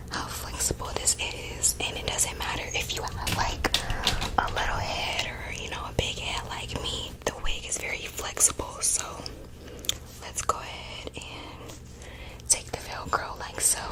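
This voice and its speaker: A whispered voice, broken by long, frequent pauses, comes through noticeable background noise. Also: woman, fairly slow pace. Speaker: wig reviewer. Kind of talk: ASMR product demonstration. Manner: soft-spoken.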